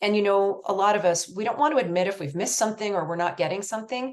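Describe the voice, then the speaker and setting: A woman with a Canadian accent and lively intonation. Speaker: research nonprofit executive director and presenter. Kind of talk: presentation. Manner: fast.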